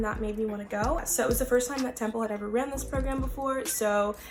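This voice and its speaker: With music in the background, a woman with an American accent talks very fast at a fairly high pitch, her intonation fairly even. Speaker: vlogger. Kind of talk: casual vlog talk. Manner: casual with many fillers.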